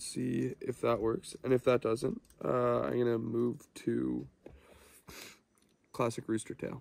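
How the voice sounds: At a slow pace, a man with a medium pitch speaks in a slightly mellow tone with vocal fry.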